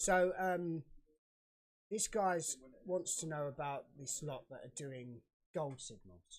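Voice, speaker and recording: The speaker has a British accent and talks at a very slow pace. Long pauses come often. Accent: UK. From UK. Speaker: live trading show co-host. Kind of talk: casual chat.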